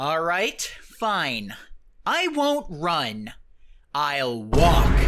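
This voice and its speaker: This put-on character voice sits at a low-to-middle pitch and moves at a very slow pace. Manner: cheeky, laid-back.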